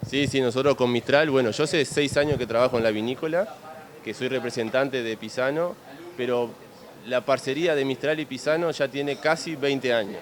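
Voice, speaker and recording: This man's fairly quick speech comes with noticeable background noise. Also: medium pitch for a man, ordinary pitch variation. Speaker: winery representative. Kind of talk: interview.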